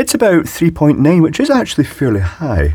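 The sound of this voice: This man's voice sits fairly high in pitch and has a dark, mellow tone with a slightly husky edge. He talks at a moderate pace, and his pitch swings very widely.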